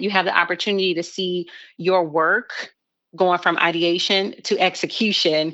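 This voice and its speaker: This woman has a plain, everyday voice. Her pitch is fairly low and her intonation fairly even. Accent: American. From Chicago. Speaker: social media agency owner. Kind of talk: interview.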